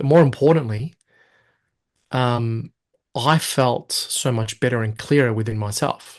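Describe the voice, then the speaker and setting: Over a quiet background, a man speaks with an Australian accent. His pitch is medium and his intonation fairly even. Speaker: hypnosis and NLP coach. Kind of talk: interview. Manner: stutter.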